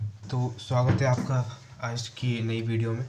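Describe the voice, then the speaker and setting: A somewhat breathy voice with a dark, mellow tone carries audible room echo. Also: man. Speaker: UPSC exam answer-writing teacher. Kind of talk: tutorial. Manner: casual, many fillers.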